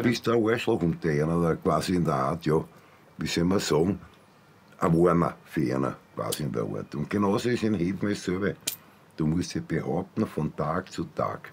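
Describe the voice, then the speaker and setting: With a very deep, low pitch and vocal fry, a man talks at a moderate pace using lively intonation. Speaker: former prison inmate. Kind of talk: interview answer in a TV documentary. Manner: halting, hesitant. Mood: casual, gruff. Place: home room.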